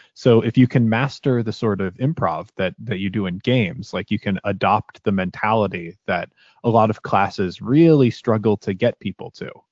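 Speaking at a moderate pace, a man has a fairly low pitch. It is a plain, everyday voice. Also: ordinary pitch variation, hardly any pauses. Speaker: voice actor and podcaster. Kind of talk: casual interview chat.

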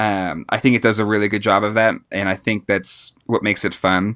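In a very clean recording with a silent background, a man with a fairly low voice and a bright, sharp tone speaks at a moderate pace. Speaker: podcast host. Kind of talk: casual chat.

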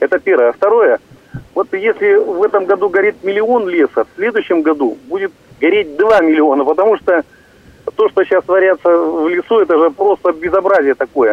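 A high-pitched man speaks at a moderate pace with ordinary pitch variation and long, frequent pauses. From Russia, Irkutsk region. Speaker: caller. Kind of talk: call-in question.

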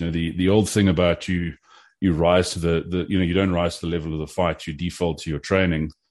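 Against a quiet background, a man with a South African accent speaks in a very deep, low voice with fairly even intonation. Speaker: competition shooter and gun commentator. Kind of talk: casual interview chat.

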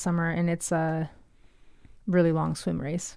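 A woman speaks with a slight Canadian accent. The recording is very clean, with a silent background. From Ontario, Canada. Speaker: artist and mountain biker. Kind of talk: casual chat. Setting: studio.

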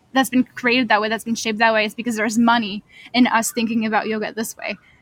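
In a dry, close recording with no echo, a woman speaks in a fairly high, somewhat breathy voice. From France. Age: 20s. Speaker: yoga teacher. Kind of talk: interview. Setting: outdoors.

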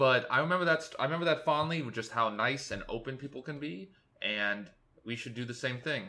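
Fairly quick and medium-pitched, this man's voice has a bright, sharp tone. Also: ordinary pitch variation. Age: 20s. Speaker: solo podcaster. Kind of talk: casual monologue. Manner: rambling, halting.

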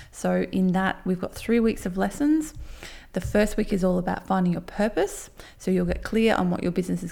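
In a very clean recording with a silent background, a woman with an Australian accent speaks at medium pitch in a dark, mellow, somewhat breathy tone with lively intonation. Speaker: podcast host, handmade business coach. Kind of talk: tutorial. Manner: fast.

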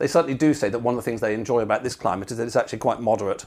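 Speaking with a British accent, a man uses a medium pitch and ordinary pitch variation. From Britain. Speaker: podcast host. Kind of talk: interview.

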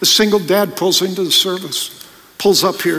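The recording captures reading aloud in a natural voice.

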